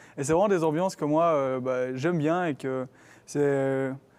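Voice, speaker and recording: In a very clean recording with a silent background, a man uses a plain, everyday voice at a fairly quick pace with fairly even intonation. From Belgium, Gembloux. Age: 20s. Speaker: university student ambassador. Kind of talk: casual chat. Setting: live stream studio.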